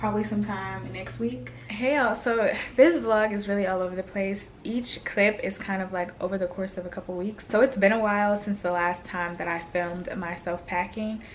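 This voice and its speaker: The speech has ordinary pitch variation against noticeable background noise. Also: woman, medium pitch for a woman, moderate pace. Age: 20s. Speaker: lifestyle vlogger. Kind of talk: casual vlog talk. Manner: casual; whispering.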